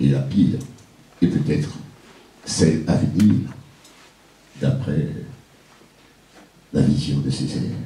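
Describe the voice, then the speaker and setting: Over noticeable background noise, a man with a very deep, low voice talks at a very slow pace with ordinary pitch variation and long, frequent pauses. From Martinique. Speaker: poet-griot, performer. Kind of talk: spoken introduction to a live audience.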